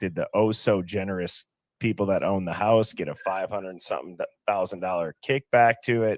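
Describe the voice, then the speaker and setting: An American-accented man with an unremarkable speaking voice talks at a moderate pace in a fairly low pitch with ordinary pitch variation, the sound dry and close with no echo. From Wisconsin, Milwaukee. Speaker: true crime livestream host. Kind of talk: casual livestream discussion.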